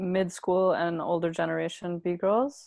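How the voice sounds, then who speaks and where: A woman speaks at a medium pitch in a normal speaking voice, with a Canadian accent. Her pace is fairly slow, and the background is quiet. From Brampton, Ontario, Canada. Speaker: breakdancer. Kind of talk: casual interview chat.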